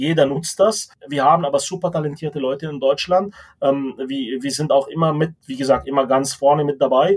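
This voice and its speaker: A man speaks with a plain, everyday voice at a fairly high pitch. His pace is moderate, with ordinary pitch variation. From Lebanon. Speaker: tech executive. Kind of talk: interview.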